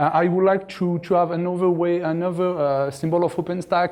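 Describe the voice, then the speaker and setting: This man has a high-pitched voice and talks at a moderate pace. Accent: French. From France. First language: French. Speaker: conference speaker, cloud infrastructure executive. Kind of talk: conference talk. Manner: halting, many fillers and repetitions.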